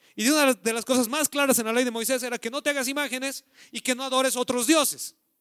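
In a very clean recording with a silent background and a dry, close sound with no echo, a man speaks at an extremely high pitch in a raised, projected voice with a bright, sharp tone at a very fast pace. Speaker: pastor. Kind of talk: sermon. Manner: animated.

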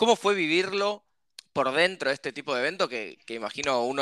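With a Rioplatense accent, a man talks at a fairly quick pace with ordinary pitch variation and a bright, sharp tone. The recording is very clean and dry, close with no echo, over a silent background. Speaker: podcast host. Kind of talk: casual interview.

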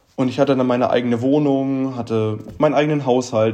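With a dark, mellow tone, a man speaks at a moderate pace and fairly even intonation. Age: 20s. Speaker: traveller and steel worker. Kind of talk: casual interview chat. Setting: video call.

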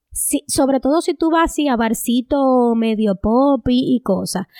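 High in pitch with ordinary pitch variation, a woman speaks very slowly in a dry, close sound with no echo. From Dominican Republic, rural Cibao. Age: 30s. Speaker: podcast co-host. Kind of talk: casual chat.

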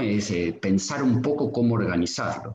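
A man's fairly low, somewhat breathy voice in a Rioplatense accent, fairly slow, with ordinary pitch variation. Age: 50s. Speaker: pediatric sports physician. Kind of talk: casual interview chat.

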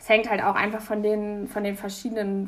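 A woman is speaking. Her pitch is fairly high. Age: 20s. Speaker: university student. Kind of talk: casual interview.

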